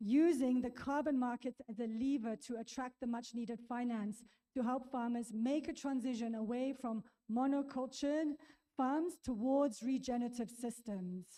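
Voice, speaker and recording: High-pitched female voice with a dark, mellow tone, fairly even intonation and a moderate pace. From South Africa. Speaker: conservation project founder. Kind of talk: conference presentation.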